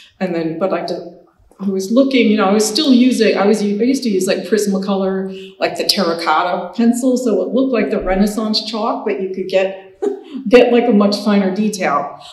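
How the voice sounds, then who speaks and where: A woman talking at a fairly quick pace, with ordinary pitch variation and audible echo from the room. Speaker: painter. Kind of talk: lecture. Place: hall.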